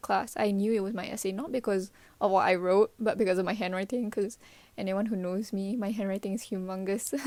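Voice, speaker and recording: A woman's dark, mellow tone at a fairly quick pace, with ordinary pitch variation, on a very clean recording with a silent background. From Malaysia. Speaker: student and vlogger. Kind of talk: casual monologue podcast. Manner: animated.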